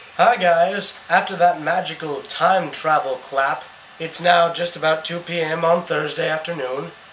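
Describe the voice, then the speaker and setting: A man talks at a fairly slow pace and a high pitch. Noticeable background noise runs underneath. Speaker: student vlogger. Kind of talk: casual vlog monologue. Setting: outdoors in city. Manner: animated; mumbling in public.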